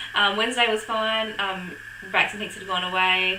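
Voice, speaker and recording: Amid noticeable background noise, a woman talks with an Australian accent. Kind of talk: casual talk to camera.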